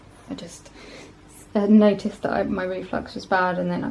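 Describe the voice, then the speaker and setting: Noticeable noise sits behind a woman who talks at an even, middling speed. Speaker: vlogger. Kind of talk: casual vlog talk to camera. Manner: hesitant, many fillers.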